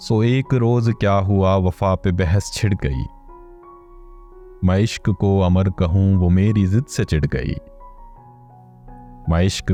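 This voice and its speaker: Music plays in the background behind a man's voice. His pitch is very deep and low with ordinary pitch variation. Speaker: poetry reciter. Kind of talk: poetry reading. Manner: emotive, precise enunciation.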